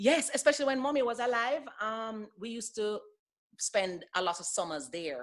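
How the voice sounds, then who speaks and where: In an American accent, a woman talks at a moderate pace with lively intonation and big swings in loudness. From Jamaica. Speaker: former airline pilot. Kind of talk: casual interview. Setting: podcast.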